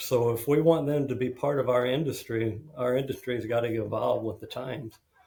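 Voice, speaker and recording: In a plain, everyday voice with an American accent, the speaker goes at a fairly quick pace with hardly any pauses and fairly even intonation. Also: man, medium pitch for a man. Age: 60s. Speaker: construction executive and mental health advocate. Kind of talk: podcast interview.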